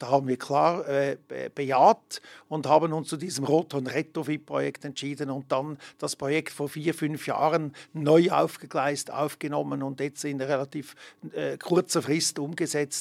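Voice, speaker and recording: The voice has vocal fry and a monotone, flat intonation. The sound is dry and close with no echo, on a very clean recording with a silent background. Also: man, fairly high pitch for a man, fairly slow pace. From Switzerland, Emmen (canton Lucerne). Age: 60s. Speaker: ski resort director. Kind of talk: interview. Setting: studio.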